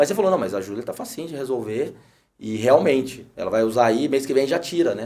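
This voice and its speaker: Talking at a fairly quick pace, a man uses lively intonation and big swings in loudness. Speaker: podcast host. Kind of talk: casual interview chat. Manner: hesitant, repeats words.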